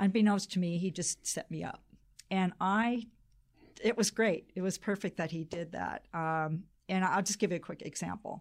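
With an American accent, a woman at medium pitch uses a normal speaking voice, fairly even intonation and a moderate pace on a very clean recording with a silent background. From Pacific Northwest US (Spokane, then Boise, Idaho). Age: 60s. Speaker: founder of a colon cancer awareness organization. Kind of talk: radio interview. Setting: studio.

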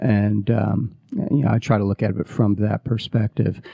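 A man with an American accent speaks at a moderate pace in a fairly low pitch, his intonation fairly even and his voice showing vocal fry. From US Midwest. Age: 40s. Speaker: startup COO and former touring musician. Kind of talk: interview. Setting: radio studio.

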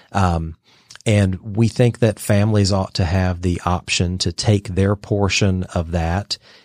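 A man speaks fairly slowly at a very deep, low pitch, with ordinary pitch variation. The sound is dry and close with no echo, and the recording is very clean over a silent background. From US South, Georgia (Dalton, Northwest Georgia). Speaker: think tank president. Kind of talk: radio interview.

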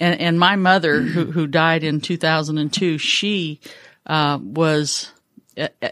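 With an American accent, a woman speaks fairly slowly at a fairly low pitch in an ordinary speaking voice. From Northern California. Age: 60s. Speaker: business CEO. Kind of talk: casual interview. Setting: studio.

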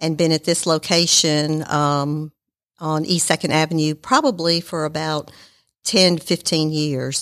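On a very clean recording with a silent background, a woman with a Southern US accent speaks fairly slowly at a fairly low pitch. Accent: Southern US (Georgia). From Marietta, Georgia, US South. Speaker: accountant and small business owner. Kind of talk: casual interview. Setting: studio.

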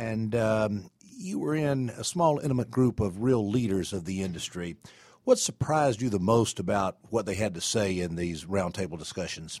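A man with a Southern US accent talks at a moderate pace in a fairly low pitch with lively intonation, captured in a very clean recording with a silent background. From Atlanta, Georgia (US South). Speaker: radio host, IT staffing executive. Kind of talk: radio interview. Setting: radio studio.

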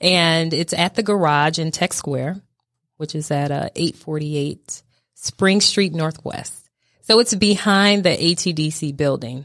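A woman with an unremarkable speaking voice talks fairly slowly at a fairly low pitch, with ordinary pitch variation. The recording is very clean, with a silent background. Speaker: startup program lead. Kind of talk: casual interview. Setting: studio.

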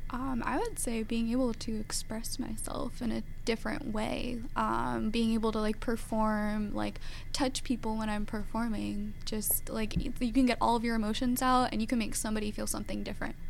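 In an American accent, a woman talks at a moderate pace with hardly any pauses. Room echo is audible. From Georgia, US. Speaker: professional ballet dancer. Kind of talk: radio interview. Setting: radio studio.

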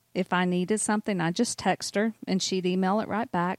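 A woman with a Southern US accent speaks at a medium pitch with fairly even intonation, in a very clean recording with a silent background and a dry, close sound with no echo. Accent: Southern US (Georgia). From US South, North Georgia. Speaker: mortgage banker. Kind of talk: casual chat.

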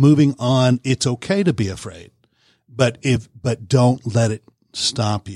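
A man with an American accent sounds somewhat breathy in a dry, close recording with no echo. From Georgia (Warner Robins). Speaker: filmmaker. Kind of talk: interview. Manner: halting, many fillers.

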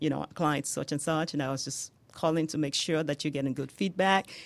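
Someone speaks with a Nigerian accent on a very clean recording with a silent background. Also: woman. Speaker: home healthcare business owner. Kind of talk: radio interview. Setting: studio.

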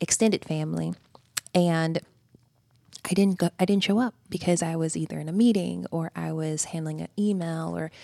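With a Georgia accent, a woman speaks in a fairly low pitch and a dark, mellow tone, her intonation fairly even and the sound dry and close with no echo. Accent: Southern American (Georgia). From US South, rural Georgia. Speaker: human resources executive. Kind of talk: radio interview. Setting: studio.

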